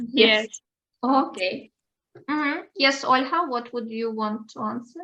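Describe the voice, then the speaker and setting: A woman with a Ukrainian accent speaks in a high voice with a bright, sharp tone, ordinary pitch variation and big swings in loudness. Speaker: English teacher. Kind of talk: online language lesson. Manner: halting.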